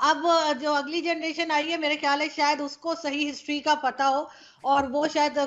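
Her pace is moderate. The woman speaks with monotone, flat intonation. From Pakistan. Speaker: talk show host. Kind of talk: panel discussion. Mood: critical, earnest. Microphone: video call.

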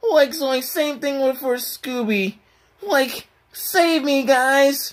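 A put-on character voice speaks at a high pitch and a very slow pace. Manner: goofy, panicked.

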